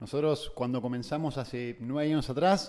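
In an ordinary speaking voice, a man talks at a moderate pace with a fairly high pitch. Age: 20s. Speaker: entrepreneur. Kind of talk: casual chat.

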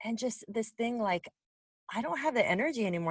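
Talking at a fairly quick pace, a woman makes very wide pitch swings in a dry, close recording with no echo. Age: 40s. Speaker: podcast host. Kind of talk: scripted narration; casual interview.

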